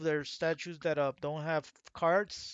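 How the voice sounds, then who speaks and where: A man with a fairly high-pitched voice. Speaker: gaming youtuber. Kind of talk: casual monologue. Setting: livestream. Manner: rambling, halting with fillers.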